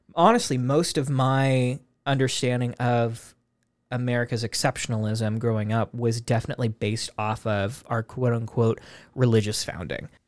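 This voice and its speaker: In a very clean recording with a silent background, a man with an ordinary speaking voice talks at a medium pitch and a moderate pace. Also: fairly even intonation. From US, Spokane, Washington. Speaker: podcast host. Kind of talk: casual chat.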